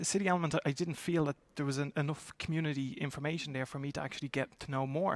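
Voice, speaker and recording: With an Irish accent, a man talks very fast at a fairly high pitch with ordinary pitch variation, in a dry, close sound with no echo. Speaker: talent acquisition executive. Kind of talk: panel discussion. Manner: halting, many repetitions.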